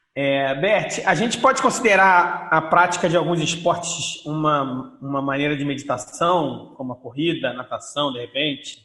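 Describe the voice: With a Carioca accent and lively intonation, a man talks at a fairly high pitch with hardly any pauses over noticeable background noise. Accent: Carioca, drawn-out R.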